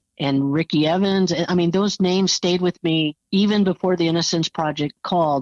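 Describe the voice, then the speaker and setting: In a normal speaking voice, a woman with fairly low pitch talks at a moderate pace with fairly even intonation, very even loudness and hardly any pauses. The sound is dry and close, with no echo. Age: 60s. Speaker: former juror. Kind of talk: interview.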